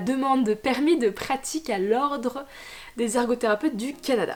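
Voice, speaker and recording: The pitch varies in an ordinary way. Noticeable background noise sits behind it. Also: woman. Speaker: occupational therapist vlogger. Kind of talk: Q&A vlog. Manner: fast; hesitant, many fillers.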